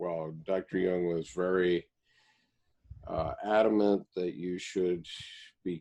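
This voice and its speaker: A man's very deep, low voice, monotone and flat, at a very slow pace, with a dark, mellow tone. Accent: American. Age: 70s. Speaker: Jungian commentator and reading group founder. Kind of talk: casual chat.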